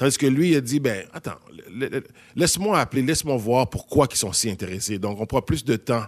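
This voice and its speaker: Lively intonation in a Quebec accent. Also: man. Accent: Québécois French. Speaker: actor. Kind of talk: casual discussion.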